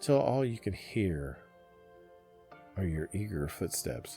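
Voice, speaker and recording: Music plays in the background. A man speaks at a very slow pace. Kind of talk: sleep story, guided meditation narration. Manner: gentle, calming, softly spoken.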